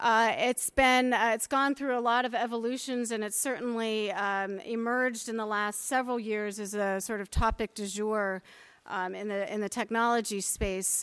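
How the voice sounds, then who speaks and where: In a very clean recording with a silent background, a woman has an ordinary speaking voice at a fairly high pitch. She keeps a moderate pace and fairly even intonation, with hardly any pauses. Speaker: panel moderator. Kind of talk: panel moderation. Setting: panel with live audience.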